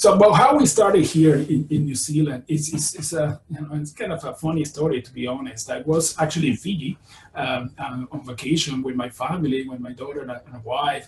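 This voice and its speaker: With a Spanish accent, a man speaks at a fairly high pitch with ordinary pitch variation, with light background noise and audible room echo. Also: fairly quick pace, big swings in loudness. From Venezuela. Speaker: virology professor. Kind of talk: lecture. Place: home room. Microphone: webcam.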